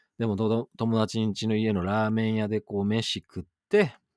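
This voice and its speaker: A very clean recording with a silent background, dry and close with no echo. A plain, everyday voice speaks at a moderate pace. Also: man. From western Japan. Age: 40s. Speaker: radio DJ. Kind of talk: solo radio talk. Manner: casual, chatty.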